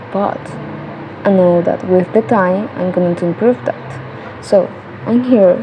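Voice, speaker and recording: A woman speaks at a medium pitch with a Colombian accent. Noticeable background noise runs underneath. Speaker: English learner vlogger. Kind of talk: tutorial. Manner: halting. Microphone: cell phone mic.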